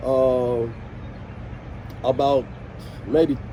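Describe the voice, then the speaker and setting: Noticeable background noise runs beneath a man talking in an American accent. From Washington DC (Southeast). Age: 60s. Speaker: former skate club member and community figure. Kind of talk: interview storytelling.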